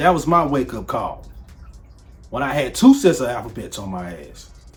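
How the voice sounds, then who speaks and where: Music plays in the background as a man speaks at a fairly quick pace in an animated tone with very wide pitch swings. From Nashville, Tennessee. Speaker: author and video commentator. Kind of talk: casual commentary vlog.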